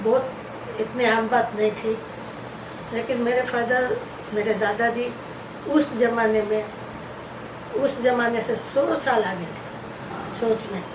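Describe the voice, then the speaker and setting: A woman with a fairly high voice speaks in a fairly even intonation, leaving long, frequent pauses, with noticeable background noise behind her. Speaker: grandmother sharing life stories. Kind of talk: interview answer.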